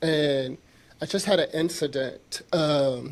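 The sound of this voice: Soft-spoken, a man talks at a slow pace with fairly even intonation. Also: fairly high pitch for a man.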